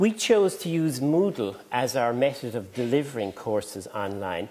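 Lively intonation from a male speaker. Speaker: conference presenter. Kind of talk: lecture. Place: hall. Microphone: lapel.

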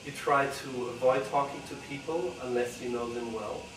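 A man speaks at a moderate pace and medium pitch, with ordinary pitch variation and audible room echo.

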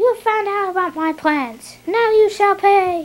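At a fairly slow pace, a put-on character voice speaks at an extremely high pitch. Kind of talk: kids' homemade action drama. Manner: menacing, commanding.

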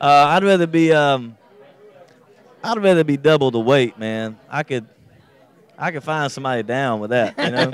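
A man's fairly high voice with an American accent, moderate pace and long, frequent pauses, dry with no echo, crowd noise behind. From Southern US (Georgia). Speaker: country singer-songwriter. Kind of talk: interview answer. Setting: radio interview. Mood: relaxed, joking. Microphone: handheld.

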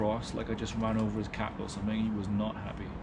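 A man rattles along at a very fast pace while loud background noise competes with him. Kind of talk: casual vlog chat. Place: garden.

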